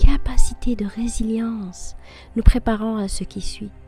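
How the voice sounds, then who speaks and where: A woman's fairly high voice at a very slow pace with fairly even intonation and music in the background. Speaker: affirmation and personal-development podcast host. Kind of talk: guided personal-development talk, motivational narration.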